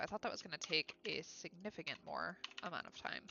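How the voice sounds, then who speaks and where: A woman talks with an American accent at a very fast pace. Her voice sits at medium pitch with ordinary pitch variation. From Ohio, US Midwest. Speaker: illustrator and streamer. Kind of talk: live stream chat while crafting. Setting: live stream.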